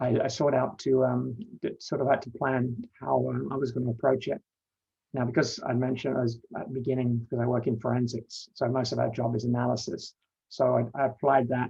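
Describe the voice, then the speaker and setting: A man's medium-pitched voice with vocal fry, a dark, mellow tone, monotone, flat intonation and a fairly quick pace. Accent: London. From London, England. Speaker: panelist sharing coming-out story. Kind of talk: personal testimony. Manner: halting, many fillers and repetitions.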